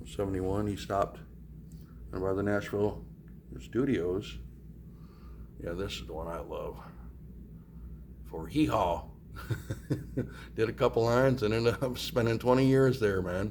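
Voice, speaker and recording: A man speaks at a moderate pace with lively intonation and long, frequent pauses. His voice is somewhat breathy, with audible room echo. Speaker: travel vlogger. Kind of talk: casual vlog walkthrough. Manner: animated; casual, hesitant with fillers.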